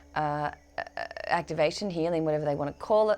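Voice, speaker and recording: Talking at a fairly quick pace, a woman with an Australian accent uses a fairly low pitch and ordinary pitch variation. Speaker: spiritual medium. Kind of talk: channelled spiritual guidance. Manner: hesitant, many fillers.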